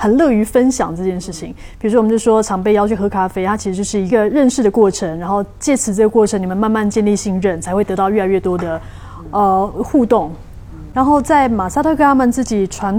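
A woman at a medium pitch in a Taiwanese accent, fairly quick in pace with ordinary pitch variation, over noticeable background noise. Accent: Taiwanese Mandarin. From Taipei, Taiwan. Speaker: hypnotist and guest. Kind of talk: casual interview chat.

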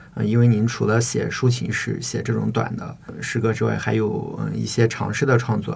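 A man talks at a moderate pace, his voice carrying audible room echo over noticeable background noise. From Shiyan, Hubei, China. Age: 20s. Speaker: doctoral student and poet. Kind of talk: interview conversation. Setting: studio. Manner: hesitant, filler-heavy academic speech.

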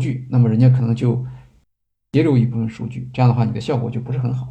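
A dark, mellow, somewhat breathy voice at a very fast pace, with audible room echo. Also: man. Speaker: podcast host. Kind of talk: lecture-style monologue. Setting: live stream. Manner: hesitant fillers.

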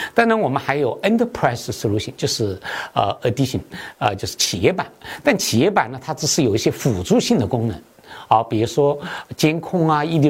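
A man's somewhat breathy, medium-pitched voice at a fairly quick pace, with very wide pitch swings, in a very clean recording with a silent background. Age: 50s. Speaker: tech startup founder and CEO. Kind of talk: interview. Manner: hesitant, many fillers (啊、呃).

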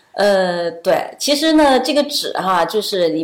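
There is noticeable background noise behind this woman. Her medium-pitched voice moves at a moderate pace with lively intonation. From China. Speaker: accompanying parent of an international student. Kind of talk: casual interview. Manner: hesitant, many fillers.

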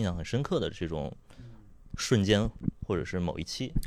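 This man has an unremarkable speaking voice with fairly low pitch, captured on a very clean recording with a silent background. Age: 20s. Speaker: podcast producer. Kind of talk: casual chat.

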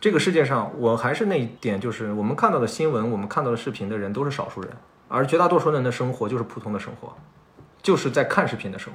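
A man talks at a very fast pace in a medium pitch, with lively intonation and big swings in loudness. Noticeable background noise and audible room echo fill the recording. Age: 30s. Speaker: podcast host. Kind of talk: casual chat. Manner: talkative.

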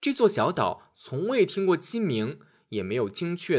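A man's fairly high voice with big pitch swings at a moderate pace, on a very clean recording with a silent background

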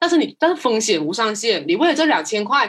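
Speaking with a non-native accent, a woman makes very wide pitch swings. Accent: non-native Mandarin. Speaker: marketing professional. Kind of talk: casual interview chat. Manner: fast.

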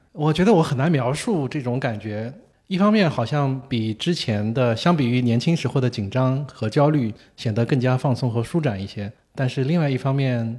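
In a very clean recording with a silent background, a man with a plain, everyday voice speaks at a moderate pace, a medium pitch and ordinary pitch variation. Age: 50s. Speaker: tennis journalist. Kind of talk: casual interview.

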